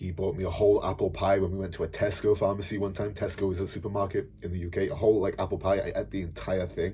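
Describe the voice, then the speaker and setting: Speaking with a South Welsh accent, a man sounds animated as he races along at a very fast pace with hardly any pauses. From Wales, South Wales. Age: 20s. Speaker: fitness coach and YouTuber. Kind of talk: personal storytelling monologue. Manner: casual, animated.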